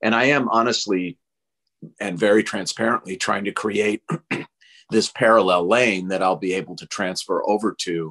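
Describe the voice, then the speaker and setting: A man's fairly low voice with an American accent, bright and sharp in tone, at a moderate pace with ordinary pitch variation and a quiet background. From Minnesota (Minneapolis area). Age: 60s. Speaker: rabbi and author. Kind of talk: interview conversation. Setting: video call.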